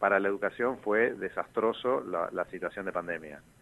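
A man speaks at a moderate pace in a fairly low pitch. His pitch rises and falls in an ordinary way. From Argentina, Posadas (Misiones). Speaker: university professor and political candidate. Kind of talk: radio interview. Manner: halting, with repetitions.

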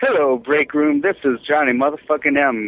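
A man talks at a fairly slow pace in a medium pitch. His voice shows ordinary pitch variation.

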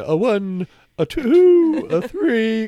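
A put-on character voice from a man, extremely high in pitch, with very wide pitch swings. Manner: slow, counting, mock-wise.

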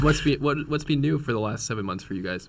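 A man's quiet mumbling with lively intonation. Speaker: radio show co-host. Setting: radio studio.

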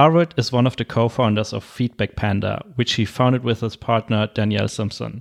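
A man talks at a medium pitch with fairly even intonation. Music plays behind his dry, close sound with no echo. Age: 30s. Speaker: podcast host. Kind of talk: casual interview chat.

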